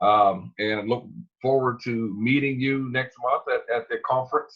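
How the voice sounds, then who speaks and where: A man talks fairly slowly, his medium-pitched voice keeping a fairly even intonation. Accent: American. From North Carolina. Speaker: webinar host. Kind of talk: hosting a webinar call. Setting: conference call.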